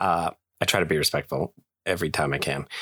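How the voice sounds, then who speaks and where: Recorded very cleanly against a silent background, a man's voice comes across dry and close with no echo. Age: 20s. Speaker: podcast host. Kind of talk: casual solo podcast talk. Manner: conversational with filler words.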